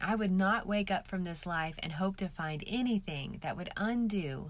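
Using an ordinary speaking voice, a woman talks at a fairly slow pace. Her medium pitch carries lively intonation. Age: 40s. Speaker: author reading her own book. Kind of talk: reading aloud.

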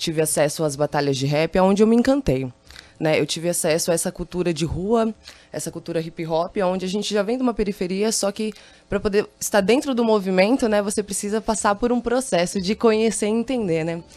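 A woman with a medium pitch and a dark, mellow tone talks at a fairly quick pace. Her intonation is lively. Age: 20s. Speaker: hip hop singer. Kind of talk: radio interview. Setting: radio studio.

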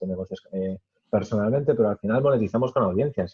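Heard here is a plain, everyday voice with ordinary pitch variation. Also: man. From Spain, Madrid region (Alcalá de Henares). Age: 20s. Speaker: tech media founder and YouTuber. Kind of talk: interview.

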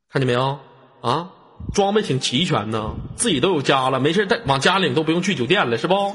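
Against noticeable background noise, a man with a fairly high pitch speaks in an animated tone at a fairly quick pace, his pitch swinging very widely. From Changchun, northeast China. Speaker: live-stream chat host. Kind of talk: live-stream call-in chat. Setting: online voice live stream.

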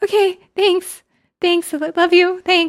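A put-on character voice, female-sounding, extremely high-pitched and nervous, with monotone, flat intonation at a fairly slow pace. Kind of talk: casual, filler-heavy. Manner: nervous, gushing.

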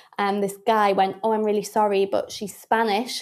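At a moderate pace, a woman with a Geordie accent talks in a fairly high pitch. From Newcastle, northeast England. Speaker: comedian. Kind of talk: casual chat.

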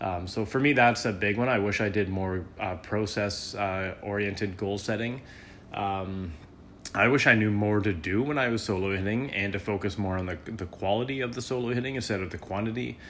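Audible room echo surrounds a man speaking at a fairly low pitch and a fairly quick pace, with ordinary pitch variation. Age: 30s. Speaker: squash coach and podcast host. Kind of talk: solo podcast monologue. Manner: halting, many fillers.

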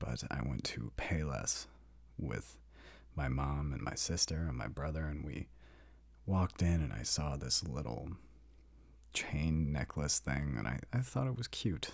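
With a very deep, low pitch and vocal fry, this man talks at a fairly slow pace, using ordinary pitch variation and long, frequent pauses. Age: 20s. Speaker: solo podcaster. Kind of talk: personal monologue. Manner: casual, with laughs and sighs.

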